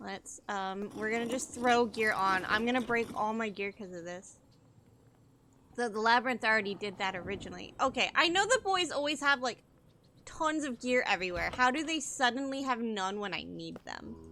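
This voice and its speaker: A woman's fairly high voice at a moderate pace, with lively intonation and big swings in loudness. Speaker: gaming streamer. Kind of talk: live gameplay commentary.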